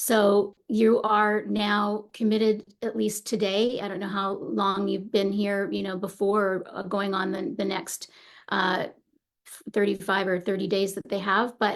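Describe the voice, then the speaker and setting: Speaking at a fairly slow pace, a woman with a medium-pitched voice keeps her intonation flat and monotone. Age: 60s. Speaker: meditation teacher. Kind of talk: casual talk before guided meditation. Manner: hesitant, many fillers.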